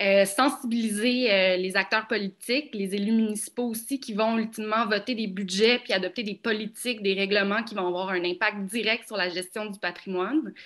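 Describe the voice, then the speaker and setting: A plain, everyday voice from a woman, fairly high in pitch, fairly even in intonation, at a moderate pace with hardly any pauses. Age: young. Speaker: heritage conservation professional. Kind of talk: panel discussion.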